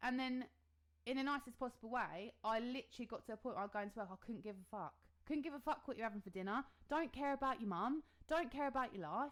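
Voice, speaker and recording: A loud woman speaks very fast with an English accent. Her high voice has an animated tone and ordinary pitch variation. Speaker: podcast co-host. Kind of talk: casual chat.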